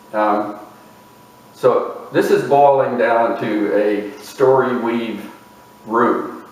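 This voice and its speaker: A man talks at a very slow pace, leaving long, frequent pauses, while noticeable background noise and audible room echo fill the recording. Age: 60s. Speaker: video essayist. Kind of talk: reflective lecture. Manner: unhurried, with fillers.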